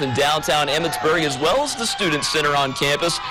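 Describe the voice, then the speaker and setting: A man with a fairly high pitch speaks fairly quickly in an energetic tone. There is noticeable background noise. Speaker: sports anchor and reporter. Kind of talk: TV sports anchor game recap. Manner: energetic, conversational.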